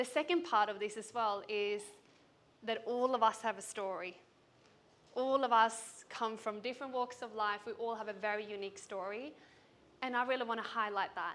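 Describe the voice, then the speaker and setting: With a Swedish accent, a woman speaks at a fairly high pitch. Her intonation is fairly even and her pace moderate. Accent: Swedish, noticeable. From Sweden. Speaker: business coach. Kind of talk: keynote speech. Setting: stage with audience.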